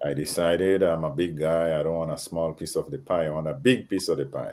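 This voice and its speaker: The speaker has a slight Grenadian accent and ordinary pitch variation. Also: man, very deep, low pitch for a man, fairly quick pace. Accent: slight Grenadian Caribbean. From Grenada, Caribbean. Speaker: panel guest. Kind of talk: panel discussion.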